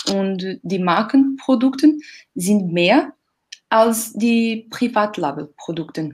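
In a Portuguese accent, a somewhat breathy voice with lively intonation moves at a very slow pace. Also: woman, fairly high pitch for a woman. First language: Portuguese (speaking German). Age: 30s. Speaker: retail category manager. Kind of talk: casual chat. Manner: halting.

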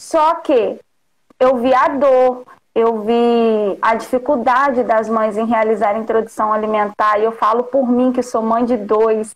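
A woman's very slow, fairly high-pitched speech with very even loudness and fairly even intonation. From Rio de Janeiro state interior. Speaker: nutritionist. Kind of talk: casual chat. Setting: live call on stream.

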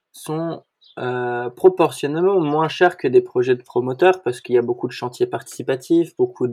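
A man with a dark, mellow tone and fairly high pitch. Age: 20s. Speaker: co-founder of a light-housing association. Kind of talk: interview. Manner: hesitant, many filler words.

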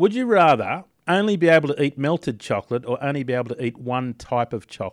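A man with an Australian accent talks at a very fast pace and fairly high pitch. His intonation is lively, and the sound is dry and close with no echo. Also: very clean recording, silent background. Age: 30s. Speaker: breakfast radio host. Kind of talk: casual breakfast radio chat. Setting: radio studio.

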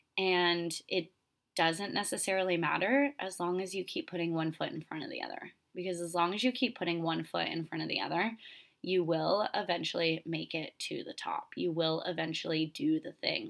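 A woman's fairly low voice with vocal fry, at a moderate pace and with ordinary pitch variation. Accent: American. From Florida. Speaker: podcast host and retreat leader. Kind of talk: casual storytelling monologue. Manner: animated.

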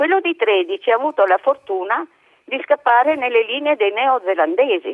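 A woman's high-pitched voice, very wide pitch swings, moderate pace. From Trieste, Italy. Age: 80s+. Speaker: caller. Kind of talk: testimony. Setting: phone call.

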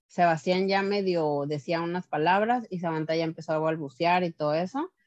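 A woman's voice with ordinary pitch variation, over a quiet background, with a dry, close sound and no echo. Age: 30s. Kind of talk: testimony. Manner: hesitant, many fillers.

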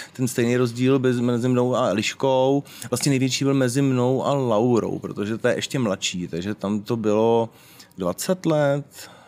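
A normal speaking voice, fairly slow in pace, its pitch varying in an ordinary way. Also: man, medium pitch for a man. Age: 40s. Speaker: BDSM event organizer and club co-owner. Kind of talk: casual interview. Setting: outdoors.

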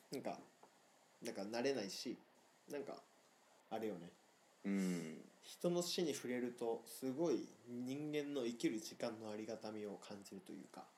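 At a moderate pace, a man with a dark, mellow tone and medium pitch speaks with lively intonation and long, frequent pauses. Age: 20s. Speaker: podcast co-host. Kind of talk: casual chat. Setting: remote recording.

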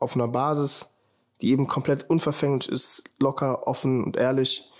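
Flat, monotone delivery from a male speaker, fairly quick in pace. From Germany, Heidelberg. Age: 20s. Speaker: podcast host, film student. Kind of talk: casual monologue. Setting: standing at a window. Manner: casual, relaxed.

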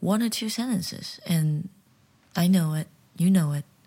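Delivery comes at a fairly slow pace. An American accent marks the speech. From United States. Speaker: podcast host and English teacher. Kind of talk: solo podcast monologue.

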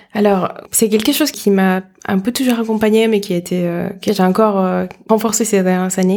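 A woman talks at a fairly quick pace in a dark, mellow tone. Her medium-pitched voice keeps fairly even intonation. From Dominican Republic. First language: Spanish (speaking French). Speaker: startup accelerator director. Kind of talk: interview.

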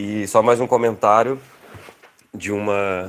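Man with an ordinary speaking voice, fairly low in pitch, with fairly even intonation. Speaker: podcast host. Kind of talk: casual chat. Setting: video call.

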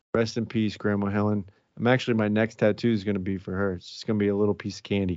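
A man talks at a very fast pace in a fairly low pitch. His intonation stays monotone and flat. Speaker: podcast host. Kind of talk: casual banter. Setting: home recording. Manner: joking, profane.

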